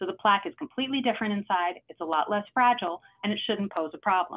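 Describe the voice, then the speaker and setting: Here is a woman with a New York accent. She speaks at a very fast pace. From New York City. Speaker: cardiologist. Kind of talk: lecture. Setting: video call. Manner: fast talker. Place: home room. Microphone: webcam.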